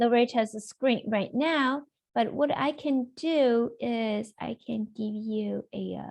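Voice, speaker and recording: A woman at a very slow pace with ordinary pitch variation, against a quiet background. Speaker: software trainer. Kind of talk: webinar tutorial. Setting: video call. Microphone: video call.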